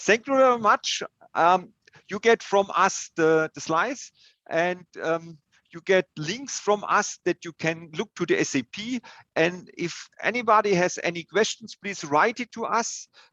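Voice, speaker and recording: A man's raised, projected voice in a German accent, high in pitch with ordinary pitch variation and a bright, sharp tone, at a fairly slow pace, in a dry, close sound with no echo. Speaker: software consultant presenter. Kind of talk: webinar Q&A. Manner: halting.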